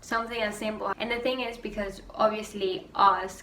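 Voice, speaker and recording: A woman with a Spanish accent speaks at a moderate pace, with audible room echo and noticeable background noise. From Venezuela. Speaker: YouTuber. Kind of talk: rant vlog. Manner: animated.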